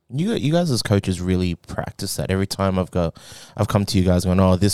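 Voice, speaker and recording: A man with an Australian accent speaks at a fairly quick pace in a very deep, low voice with a dark, mellow tone, on a very clean recording with a silent background. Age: 20s. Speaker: powerlifter coached by the hosts. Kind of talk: casual chat.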